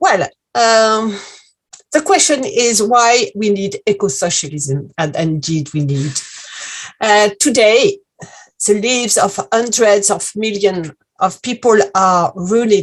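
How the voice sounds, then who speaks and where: A woman at medium pitch with lively intonation, a very slow pace and long, frequent pauses. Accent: French. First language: French. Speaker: activist speaker. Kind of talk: political talk.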